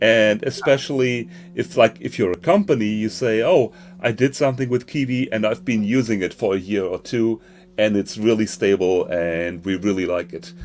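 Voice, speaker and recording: A man with a German accent talks at a moderate pace, his pitch fairly low. His intonation is lively, and music plays in the background. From northern Germany. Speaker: conference host. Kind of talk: live online conference hosting. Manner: halting, many fillers.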